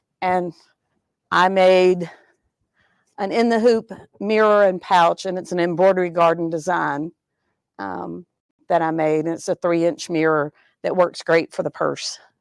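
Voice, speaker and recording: A woman speaks fairly slowly at a fairly low pitch with fairly even intonation and long, frequent pauses, the sound dry and close with no echo on a very clean recording with a silent background. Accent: Southern. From US South, Georgia. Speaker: sewing student. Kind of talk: casual show-and-tell on a live stream. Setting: sewing studio, live show. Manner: hesitant, many fillers.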